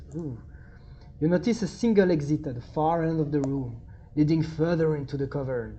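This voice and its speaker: At a fairly quick pace, a woman with a French accent talks in a very deep, low voice that is somewhat breathy, with a dark, mellow tone. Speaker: tabletop gaming YouTuber. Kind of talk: solo game play-through with reading aloud. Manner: animated; halting.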